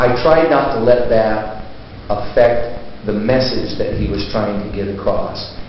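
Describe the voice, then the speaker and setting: A man talks very slowly, with audible room echo and noticeable background noise around him. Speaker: college teacher. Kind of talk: interview. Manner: loud.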